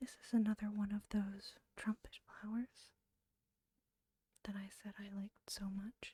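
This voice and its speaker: A soft-spoken whisper with long, frequent pauses. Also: fairly slow pace. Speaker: ASMR creator. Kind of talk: casual commentary. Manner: whispered, soft-spoken.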